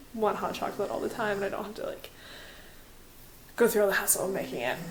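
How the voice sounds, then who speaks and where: Talking at a very fast pace, a woman is heard with audible room echo. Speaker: vlogger. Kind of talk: casual vlog. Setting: at home.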